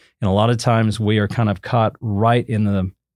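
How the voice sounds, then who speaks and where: A very clean recording with a silent background and a moderate pace. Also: man. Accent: Southern Plains. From Oklahoma (Enid). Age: 60s. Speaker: TV meteorologist. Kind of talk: interview, casual explanatory talk.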